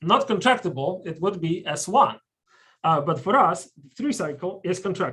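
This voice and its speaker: Bright, sharp tone in a strong Polish accent, with lively intonation and a fairly slow pace. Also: man. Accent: thick Polish. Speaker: mathematician giving a colloquium talk. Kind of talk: lecture. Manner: hesitant, many fillers.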